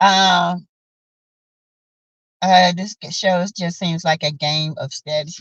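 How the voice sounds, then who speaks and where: A woman speaks very slowly at medium pitch, somewhat breathy, with lively intonation. The sound is dry and close with no echo. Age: 50s. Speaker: YouTube commentary streamer. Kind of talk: live stream chat reading comments. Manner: animated.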